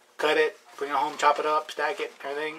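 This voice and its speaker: A man speaks very fast at a fairly high pitch. Background noise is noticeable. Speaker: DIY channel host. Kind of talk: cooking tutorial. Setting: home kitchen.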